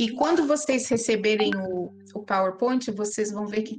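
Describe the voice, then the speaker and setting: This woman speaks at a fairly high pitch and a moderate pace, with ordinary pitch variation. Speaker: spiritist study group speaker. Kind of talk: lecture. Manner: halting.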